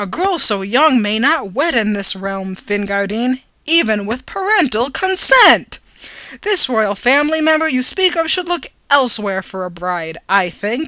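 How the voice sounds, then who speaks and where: A woman does a put-on character voice pitched high. Her pace is moderate. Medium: read story. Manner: stern, dignified.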